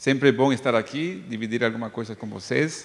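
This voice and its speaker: A man at a medium pitch speaks in a Bolivian accent. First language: Spanish (speaking Portuguese). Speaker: psychologist. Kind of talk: lecture. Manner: hesitant, with filler sounds.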